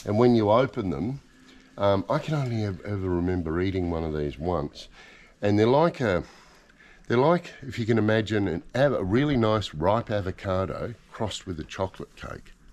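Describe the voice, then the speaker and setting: Speaking with an Australian accent, a man uses a fairly low pitch and lively intonation. His pace is moderate and the background is quiet. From Australia, Queensland. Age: 60s. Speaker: voice-over artist. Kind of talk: casual chat. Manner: halting.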